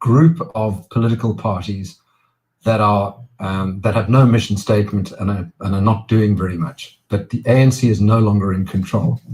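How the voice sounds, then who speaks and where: At a moderate pace, a man speaks in a somewhat breathy way. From South Africa. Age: 60s. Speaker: businessman and political activist. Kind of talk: interview.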